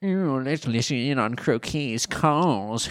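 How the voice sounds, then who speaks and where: A man's put-on character voice at medium pitch, with a slight British accent and a fairly slow pace. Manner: villainous.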